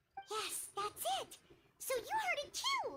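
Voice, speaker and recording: In a squeaky, extremely high-pitched put-on character voice, the speaker goes at a fairly slow pace. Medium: video game. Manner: talks about herself in third person.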